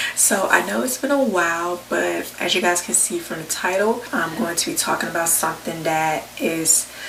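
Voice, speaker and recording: Lively intonation marks a woman's fairly low-pitched voice at a moderate pace. The recording has noticeable background noise and audible room echo. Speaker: vlogger. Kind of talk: personal testimony vlog. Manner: soft-spoken.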